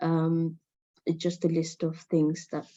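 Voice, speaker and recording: A woman with a non-native accent speaks slowly and in a fairly low pitch. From Nepal. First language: not English. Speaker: mental health speaker, NHS trainer. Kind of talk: presentation. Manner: halting, many fillers and repeats.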